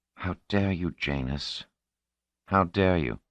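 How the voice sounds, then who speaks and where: In a put-on character voice that is husky, someone speaks at a fairly slow pace, the sound dry and close with no echo over a quiet background. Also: man, very deep, low pitch for a man. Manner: angry, indignant.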